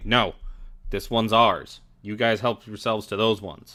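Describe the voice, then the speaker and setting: In a put-on character voice, a man growls at a moderate pace with medium pitch. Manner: angry, territorial, growling.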